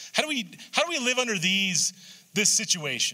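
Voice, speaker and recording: A man's raised, projected voice. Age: 60s. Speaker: pastor. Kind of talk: sermon. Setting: church. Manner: halting.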